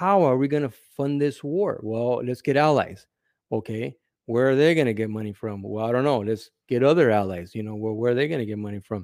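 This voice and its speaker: A man speaks in an unremarkable speaking voice, pitched medium. His pitch variation is ordinary and his pace fairly quick. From California. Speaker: former correctional officer. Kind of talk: casual interview.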